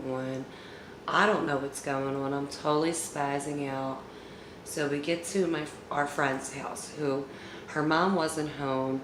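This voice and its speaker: A woman speaks very slowly in a very deep, low pitch with monotone, flat intonation. Noticeable background noise and audible room echo surround her voice. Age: 40s. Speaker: YouTuber storyteller. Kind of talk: storytime monologue. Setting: at home. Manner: casual, with fillers.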